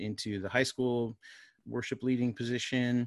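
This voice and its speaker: A plain, everyday voice from a man with an American accent, medium in pitch, fairly slow, fairly even in intonation, and dry, close sound with no echo. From Florida. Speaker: worship pastor and media company founder. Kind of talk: casual interview.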